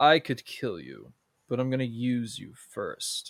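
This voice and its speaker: At a fairly slow pace, a man performs a put-on character voice at medium pitch. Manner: menacing, demanding, drawn out.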